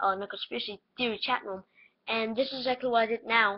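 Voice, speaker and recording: A squeaky woman's voice, fairly high-pitched, with fairly even intonation. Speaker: conspiracy theory vlogger. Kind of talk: casual webcam monologue. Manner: halting, many fillers.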